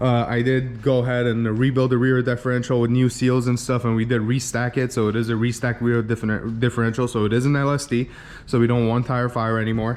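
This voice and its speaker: A man at a fairly quick pace with a medium pitch. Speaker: tuner and performance shop owner. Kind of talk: casual walkaround video. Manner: fast; casual, many fillers.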